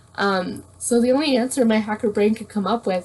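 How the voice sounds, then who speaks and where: Somewhat breathy, a woman with a Canadian accent speaks at a fairly high pitch. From Canada. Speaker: blind YouTuber. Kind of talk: casual chat.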